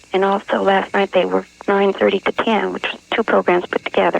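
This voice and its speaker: There is noticeable background noise behind this woman. Her voice is dry and close, with no echo, at a moderate pace. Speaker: radio caller. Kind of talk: casual phone call answer. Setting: phone line.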